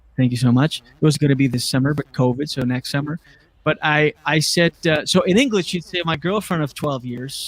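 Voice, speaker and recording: The man's voice sits at a fairly high pitch and moves at a fairly quick pace. The sound is dry and close, with no echo. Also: ordinary pitch variation. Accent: Acadian. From Acadian New Brunswick, Canada. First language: French. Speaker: comedian. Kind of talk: casual chat.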